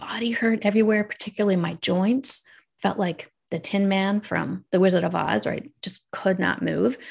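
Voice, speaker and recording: Against a quiet background, a somewhat breathy woman speaks at medium pitch and a moderate pace with ordinary pitch variation. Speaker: radiologist and wellness coach. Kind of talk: casual interview.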